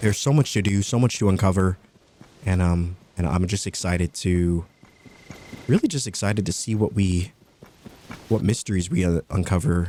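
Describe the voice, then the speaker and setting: A man with a very deep, low pitch and a dark, mellow tone speaks at a moderate pace in a relaxed tone, leaving long, frequent pauses. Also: ordinary pitch variation. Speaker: gaming commentator. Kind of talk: let's play commentary. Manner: relaxed cozy commentary.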